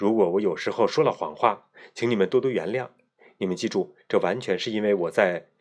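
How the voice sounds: In a natural reading voice, the speaker reads over a quiet background.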